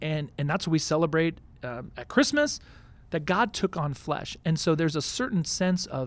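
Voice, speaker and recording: On a very clean recording with a silent background, a man with an American accent speaks in a plain, everyday voice at a fairly high pitch. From Houston, Texas. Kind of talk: casual chat. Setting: studio.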